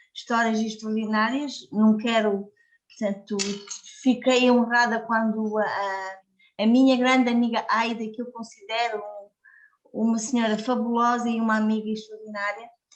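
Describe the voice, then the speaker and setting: Flat and monotone, a woman talks at a fairly high pitch. Her pace is moderate. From Portugal. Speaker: community worker and book contributor. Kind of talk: speech at a book launch. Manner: halting.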